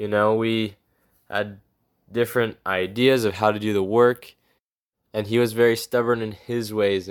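A man speaks at a moderate pace in a fairly low pitch. His intonation is monotone and flat, with long, frequent pauses. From Georgia, US South. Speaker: missionary. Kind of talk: testimony.

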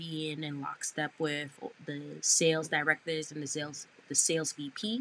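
This woman has a very deep, low pitch and an American accent. She speaks at a fairly slow pace. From Brooklyn, New York. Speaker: advertising sales manager. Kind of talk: interview. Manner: animated.

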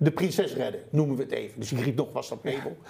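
A man's somewhat breathy, fairly high voice with lively intonation at a fairly quick pace. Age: 50s. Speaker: sustainable entrepreneur. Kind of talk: interview.

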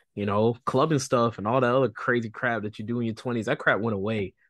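A man speaks in a plain, everyday voice at a medium pitch with ordinary pitch variation. His pace is moderate, and the background is quiet. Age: 30s. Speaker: podcast co-host, stay-at-home husband, military background. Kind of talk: casual chat.

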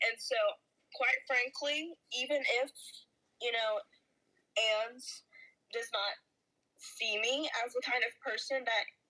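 A woman speaks at a fairly slow pace in a raised, projected voice with a high pitch. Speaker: podcast host. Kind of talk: casual chat.

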